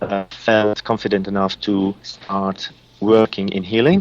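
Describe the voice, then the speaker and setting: With a non-native accent, a man speaks at a very slow pace. His fairly low voice stays monotone and flat. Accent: foreign. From Lebanon. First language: Arabic. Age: 40s. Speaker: psychic reader and healer. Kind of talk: radio interview. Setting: Skype call. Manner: halting, many fillers.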